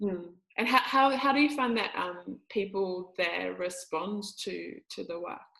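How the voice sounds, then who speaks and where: A woman with a New Zealand accent speaks at a fairly slow pace. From New Zealand, Māori. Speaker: podcast host and Māori healing teacher. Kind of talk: casual interview chat.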